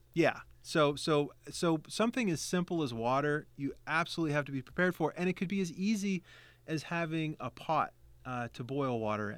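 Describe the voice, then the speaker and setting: A man with an American accent and an unremarkable speaking voice talks fairly high and fairly quickly, with lively intonation. The recording is very clean, with a silent background. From West Virginia. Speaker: guest. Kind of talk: casual chat.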